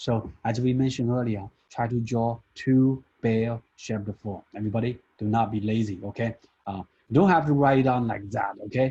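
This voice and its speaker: A man's dark, mellow, somewhat breathy voice at medium pitch and a moderate pace, with ordinary pitch variation. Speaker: statistics lecturer. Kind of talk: classroom lecture.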